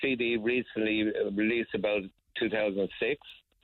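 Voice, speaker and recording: With an Irish accent, a man speaks at a medium pitch in a monotone, flat intonation. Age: 70s. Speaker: folk musician and songwriter. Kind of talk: radio interview. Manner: halting.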